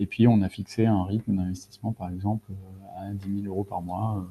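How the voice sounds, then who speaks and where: This man speaks at a fairly quick pace in a fairly low pitch with a dark, mellow tone. His intonation is monotone and flat, and the sound is dry and close with no echo against a quiet background. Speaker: data and AI consultant. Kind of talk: webinar presentation. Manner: fast; hesitant, many fillers.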